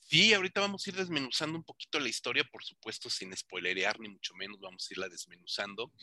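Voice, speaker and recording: With a bright, sharp tone, very wide pitch swings and big swings in loudness, the voice rushes at a very fast pace with hardly any pauses, in a dry, close sound with no echo. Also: man, medium pitch for a man. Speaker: film magazine videoblog host. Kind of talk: interview. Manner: animated.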